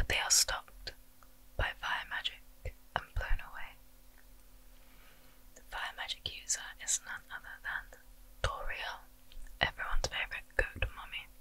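A soft-spoken, whispering woman at a moderate pace, with big swings in loudness and long, frequent pauses. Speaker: video game story narrator. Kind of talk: narrated story recap. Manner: soft whispered storytelling. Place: home room.

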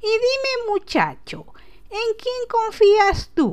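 Over light background noise, a woman in a put-on character voice squeaks at an extremely high pitch, speaking at a very slow pace with ordinary pitch variation. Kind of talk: prank phone call character. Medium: solo performance. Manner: warm, gentle, affectionate.

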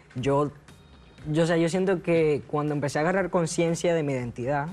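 The speaker is a man at a moderate pace. His intonation stays fairly even. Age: 20s. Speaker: transgender man sharing his story; talk show guest. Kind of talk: TV talk show interview. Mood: reflective, personal. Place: studio. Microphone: lapel.

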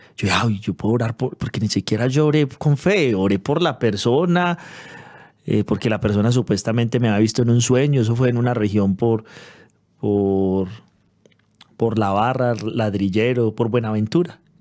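A man speaks at a moderate pace with ordinary pitch variation. His loudness stays very even over a quiet background. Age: 30s. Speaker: pastor. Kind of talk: interview testimony. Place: studio. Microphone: studio mic.

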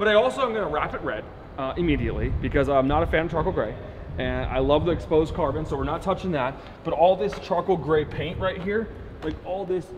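A man at a very fast pace with ordinary pitch variation, over light background noise. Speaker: car rental business owner vlogger. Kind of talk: casual vlog chat. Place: garage. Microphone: camera far.

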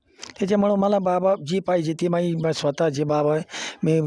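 A man's fairly high-pitched voice comes through over noticeable background noise. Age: 70s. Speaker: devotee. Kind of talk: emotional interview.

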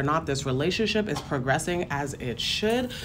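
Light background noise sits behind a woman speaking at a moderate pace. Her pitch is very deep and low. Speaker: tarot reader. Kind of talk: tarot reading commentary.

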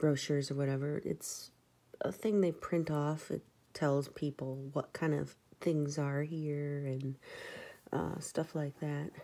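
Soft-spoken, a woman talks at a very deep, low pitch with a dark, mellow tone and ordinary pitch variation. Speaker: crafter. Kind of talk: casual talk to camera. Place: home room. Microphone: phone near.

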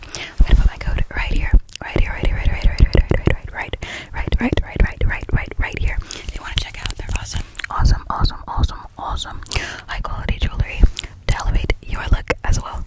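A woman whispers at a fairly quick pace. Loud background noise fills the dry sound, which has no echo. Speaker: ASMR creator. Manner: repetitive close-mic ASMR whisper. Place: home room. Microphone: studio mic.

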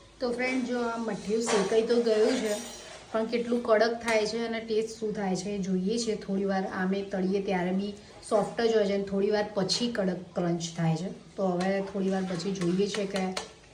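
With audible room echo and noticeable background noise, a woman speaks at a medium pitch with fairly even intonation. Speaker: vlogger. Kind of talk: casual vlog narration.

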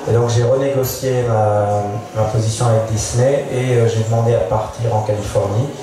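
A man speaks at a moderate pace in a flat, monotone delivery. Strong room echo and noticeable background noise surround his voice. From Auvergne, France. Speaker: painter and animation artist. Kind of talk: panel discussion. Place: tent.

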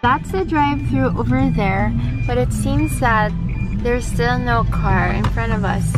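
A woman talks at a fairly slow pace over loud background music, the sound dry with no echo. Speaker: vlogger. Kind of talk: casual vlog chat. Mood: cheerful, playful. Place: car. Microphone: phone near.

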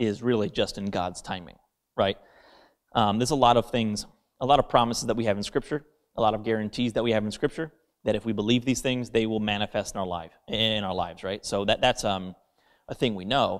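Against a quiet background, a man with a plain, everyday voice speaks at a fairly quick pace, fairly low in pitch, with ordinary pitch variation. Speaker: associate pastor. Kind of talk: sermon. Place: church. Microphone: handheld.

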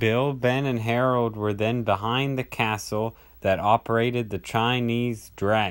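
An unforced reading voice comes through with fairly even intonation.

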